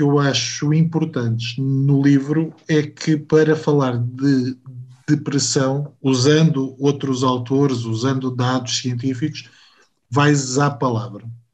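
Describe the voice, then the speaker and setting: A man's fairly high voice with ordinary pitch variation, at a very slow pace. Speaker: podcast host. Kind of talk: interview conversation.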